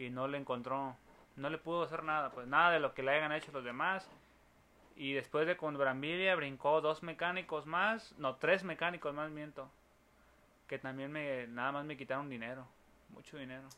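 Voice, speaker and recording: A man with a Mexican accent speaks at a moderate pace in a bright, sharp tone, his pitch fairly high and his intonation fairly even. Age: 30s. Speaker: builder. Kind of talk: casual chat.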